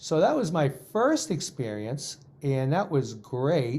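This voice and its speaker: On a very clean recording with a silent background, a man with a fairly high pitch and a dark, mellow tone speaks at a very slow pace with ordinary pitch variation. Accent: American. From Boston, Massachusetts. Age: 50s. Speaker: guitar professor. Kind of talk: casual interview chat.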